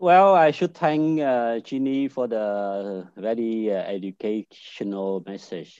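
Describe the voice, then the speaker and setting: With a Vietnamese accent, the speaker's dark, mellow tone and lively intonation come through a dry, close sound with no echo over a quiet background. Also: man. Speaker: business network director. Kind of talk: panel discussion. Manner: halting.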